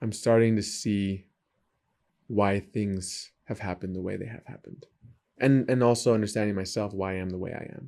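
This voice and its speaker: In a very clean recording with a silent background, a man with an American accent uses an unremarkable speaking voice, fairly low in pitch, speaking at a fairly quick pace with fairly even intonation. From San Diego, California. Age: 30s. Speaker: trail runner and baker. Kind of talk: casual interview.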